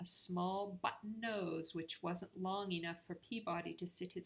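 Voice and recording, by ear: Someone is reading aloud in a natural voice, keeping a fairly even intonation.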